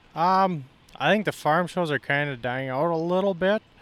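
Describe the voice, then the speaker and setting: The speaker has an Upper Midwest accent and lively intonation. The pace is moderate. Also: man. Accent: Upper Midwest (Minnesota). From central Minnesota. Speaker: farmer. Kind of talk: casual interview. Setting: farm show.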